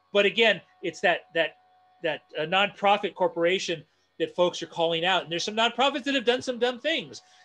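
A man with an American accent projects a raised voice at a high pitch, his tone bright and sharp and his intonation lively. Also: moderate pace. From Northeast Los Angeles; Los Angeles. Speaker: community activist and design educator; design educator. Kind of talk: online presentation and Q&A. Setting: video call. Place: home room. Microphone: earbuds.

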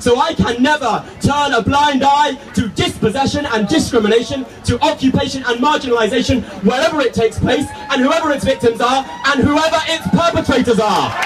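Music plays in the background as someone with a British accent talks at a fairly quick pace. The loudness stays very even, and the pitch varies in an ordinary way. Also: man, extremely high pitch for a man. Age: young. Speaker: activist speaker. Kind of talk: protest rally speech. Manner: impassioned, rhetorical.

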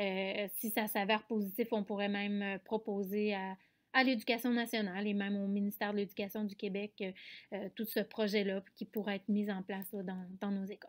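On a very clean recording with a silent background, a woman speaks at a moderate pace. Her medium-pitched voice is monotone, with flat intonation. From Quebec, Canada. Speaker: special education teacher and researcher. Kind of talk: conference presentation. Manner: hesitant, frequent filler sounds.

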